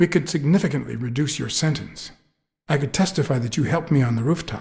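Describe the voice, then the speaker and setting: Using a put-on character voice, a man speaks at a very fast pace in a fairly high pitch. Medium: video game. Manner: low, terse, dry.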